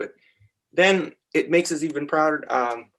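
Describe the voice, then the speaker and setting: An unremarkable speaking voice from a man, fairly high in pitch with lively intonation. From Canada. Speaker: teacher. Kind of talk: casual chat.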